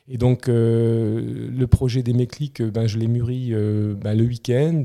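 A man's dark, mellow tone at medium pitch, with monotone, flat intonation. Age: 40s. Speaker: CEO of a family moving group. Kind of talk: podcast interview. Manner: halting, many repetitions.

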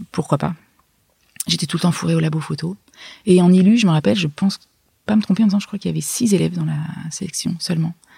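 Speaking very fast yet with long, frequent pauses, a woman uses a fairly low, somewhat breathy voice with a dark, mellow tone and ordinary pitch variation. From France, Hautes-Alpes (Gap). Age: 40s. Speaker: illustrator and author. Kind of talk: interview. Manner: halting, with many restarts.

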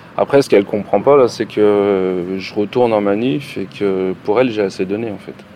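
Noticeable background noise sits behind a man with a fairly low pitch. He talks at a moderate pace with ordinary pitch variation. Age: 40s. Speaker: factory worker. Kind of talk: testimony.

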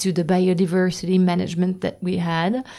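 A woman's dark, mellow voice in a French accent, at a moderate pace. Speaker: podcast host. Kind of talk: interview. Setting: recorded at a host venue's premises. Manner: halting.

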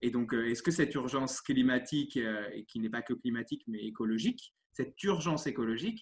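This man's medium-pitched voice holds a moderate pace and ordinary pitch variation. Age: 30s. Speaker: sports coach. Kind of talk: interview. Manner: animated; halting.

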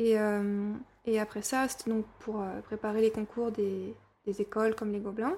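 The voice has a dark, mellow tone and monotone, flat intonation. Its pace is fairly slow. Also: woman, fairly high pitch for a woman. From Burgundy, France. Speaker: storyboard artist. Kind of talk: interview.

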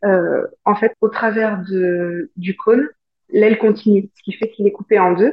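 Speaking at a very slow pace, a woman with a medium pitch keeps her intonation fairly even while her loudness swings widely. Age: 30s. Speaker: aircraft painter. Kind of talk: interview.

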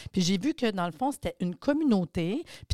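A woman with a medium pitch speaks with very wide pitch swings. The recording is very clean and dry, close with no echo, against a silent background. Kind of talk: interview. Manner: animated.

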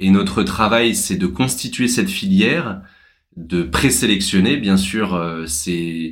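Speaking at a very slow pace, a man with a very deep, low voice is heard with audible room echo. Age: 30s. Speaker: social entrepreneur. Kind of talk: interview. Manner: halting.

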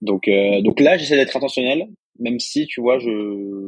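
A man speaks with ordinary pitch variation. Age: 20s. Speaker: freelance writer and online school founder. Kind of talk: casual interview chat.

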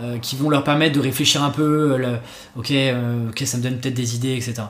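A man with an ordinary speaking voice, medium pitch, fairly even intonation, and a fairly quick pace. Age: 20s. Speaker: copywriter and podcaster. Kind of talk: casual chat.

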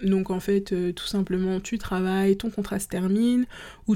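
A woman speaks at a moderate pace and medium pitch, with a dark, mellow tone and flat, monotone intonation. The recording is very clean, with a silent background. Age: 30s. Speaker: podcast host, freelance photographer. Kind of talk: casual solo podcast monologue.

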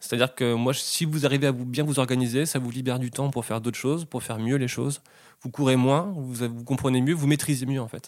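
Quick-paced for the most part, a man of medium pitch speaks with fairly even intonation on a very clean recording with a silent background. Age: 30s. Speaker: baker. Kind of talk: interview. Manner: halting.

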